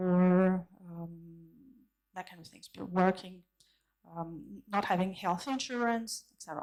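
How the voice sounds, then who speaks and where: Long, frequent pauses break up this woman's fairly slow speech, delivered with a French accent at a medium pitch, with ordinary pitch variation and big swings in loudness. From France. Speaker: conference keynote speaker, consultant. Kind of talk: conference keynote talk. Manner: halting, many fillers and restarts.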